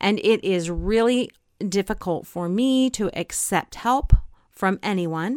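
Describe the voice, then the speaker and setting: On a very clean recording with a silent background and a dry, close sound with no echo, a woman speaks in an unremarkable speaking voice. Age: 50s. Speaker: podcast host and co-parenting coach. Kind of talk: solo podcast monologue.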